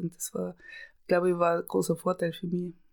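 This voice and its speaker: The recording is very clean, with a silent background. A woman speaks at a fairly low pitch with monotone, flat intonation. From Austria, Tyrol. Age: 50s. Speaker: camerawoman and screenwriter. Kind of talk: interview.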